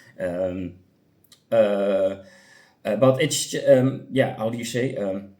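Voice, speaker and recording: In a room with audible echo, a man speaks at a very slow pace with long, frequent pauses. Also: medium pitch for a man, ordinary pitch variation. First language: not English. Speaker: gaming youtuber. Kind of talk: casual commentary. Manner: halting, many fillers.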